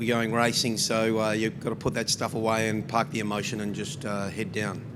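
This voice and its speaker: At a fairly quick pace, a man speaks at medium pitch in a monotone, flat intonation. Room echo is audible, and background noise is noticeable. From New Zealand, Christchurch. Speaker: motorsport team representative. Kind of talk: press conference. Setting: press conference room.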